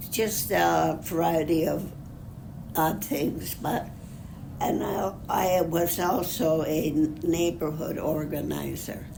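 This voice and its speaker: A woman with an American accent talks at a very slow pace, her loudness very even. Noticeable background noise is present. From Upper Peninsula of Michigan. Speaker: retired executive secretary. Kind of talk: interview answer. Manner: conversational, hesitant.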